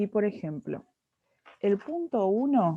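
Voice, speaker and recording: Her pitch medium but swinging very widely, a woman speaks at a very slow pace. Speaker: chemistry tutor. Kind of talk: tutoring lesson.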